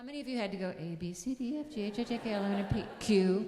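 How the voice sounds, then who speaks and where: A woman speaks at a moderate pace in a dark, mellow tone with ordinary pitch variation. There is audible room echo. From US Northeast, upstate New York (Syracuse area). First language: German. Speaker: music teacher and speaker at a church service. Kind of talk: sermon.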